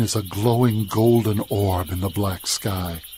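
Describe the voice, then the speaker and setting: Noticeable background noise is present throughout. The words come at a very slow pace. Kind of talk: radio show intro narration.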